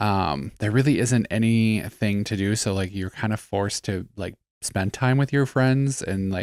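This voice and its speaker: Fairly low in pitch, a man speaks at a fairly slow pace with ordinary pitch variation. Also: very clean recording, silent background. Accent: Wisconsin. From Wisconsin (Eau Claire, Gilman). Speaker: podcast co-host. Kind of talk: casual chat.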